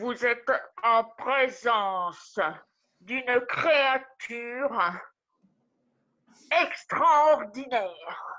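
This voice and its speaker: Using a put-on character voice, a woman speaks in a high pitch at a very slow pace, with long, frequent pauses. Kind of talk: improvised scene.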